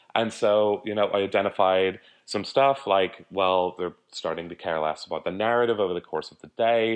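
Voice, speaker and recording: In an Irish accent, a man talks at a fairly quick pace with a fairly low pitch. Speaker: conference organizer and publisher. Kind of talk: interview.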